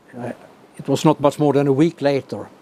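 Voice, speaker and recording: Against noticeable background noise, a man with a Swedish accent speaks at medium pitch. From Sweden. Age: 80s+. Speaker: professor emeritus of clinical physiology. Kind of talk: interview answer.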